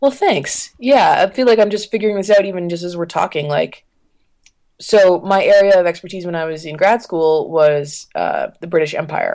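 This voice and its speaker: A woman with a Canadian accent speaks in a plain, everyday voice at a moderate pace, with lively intonation and big swings in loudness. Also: medium pitch for a woman. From Canada, Ottawa. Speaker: freelance journalist. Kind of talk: casual interview.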